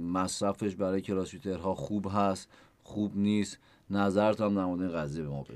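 This man has a normal speaking voice, fairly low in pitch. He talks at a fairly quick pace over a quiet background. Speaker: podcast host. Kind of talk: interview.

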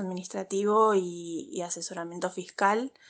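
A woman with an Argentine accent, medium pitch and ordinary pitch variation, at a fairly slow pace over a quiet background. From Argentina. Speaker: legal adviser. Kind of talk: recorded voice message. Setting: WhatsApp voice recording.

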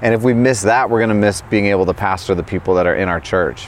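This is a man with a fairly low pitch. Background noise is noticeable behind him. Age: 30s. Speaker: worship leader. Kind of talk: interview. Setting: conference venue.

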